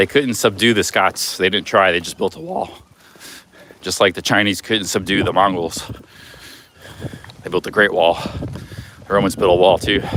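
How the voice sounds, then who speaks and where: With an American accent and fairly low pitch, a man speaks at a moderate pace with ordinary pitch variation and long, frequent pauses over noticeable background noise. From United States. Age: 40s. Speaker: travel vlogger. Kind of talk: casual vlog talk.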